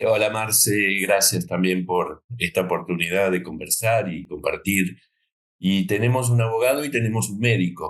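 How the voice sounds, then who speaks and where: A man speaks at a moderate pace with a fairly low pitch and ordinary pitch variation. It is a plain, everyday voice. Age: 60s. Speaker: doctor and sailor. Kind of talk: interview.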